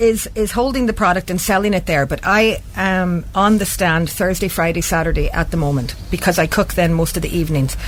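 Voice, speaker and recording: The delivery is fairly quick with lively intonation and hardly any pauses. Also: woman. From Canada. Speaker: small business owner, cook. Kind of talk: radio interview.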